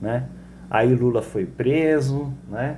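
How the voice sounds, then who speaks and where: A man's somewhat breathy, dark and mellow voice with fairly even intonation and audible room echo. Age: 60s. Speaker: political commentator. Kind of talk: monologue political commentary.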